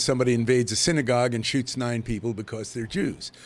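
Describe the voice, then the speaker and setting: There is noticeable background noise behind this voice. A man speaks at a fairly quick pace in a medium pitch. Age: 80s+. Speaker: television producer. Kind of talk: interview. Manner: halting.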